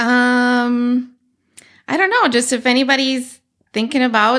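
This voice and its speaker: A woman's high voice in an Upper Midwest accent at a very slow pace, on a very clean recording with a silent background. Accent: Upper Midwest American. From Northwest Wisconsin, US. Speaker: web and graphic designer. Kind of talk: podcast interview, personal story.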